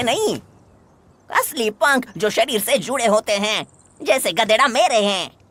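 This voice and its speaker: Delivered at a moderate pace, this is a cartoonish character voice. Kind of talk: comic overacting. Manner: slangy Bombay street talk.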